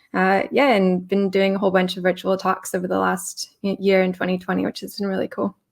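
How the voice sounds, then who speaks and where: Using an unremarkable speaking voice, a woman with an American accent talks at a fairly quick pace and medium pitch. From California, US. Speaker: tech consultant. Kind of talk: panel discussion.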